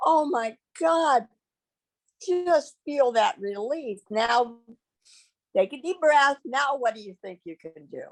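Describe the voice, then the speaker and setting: With very wide pitch swings and big swings in loudness, a woman talks at a high pitch and a very slow pace, leaving long, frequent pauses, in a dry, close recording with no echo. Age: 70s. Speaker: meditation teacher and social worker. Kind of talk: interview with guided breathing. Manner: halting, with many fillers.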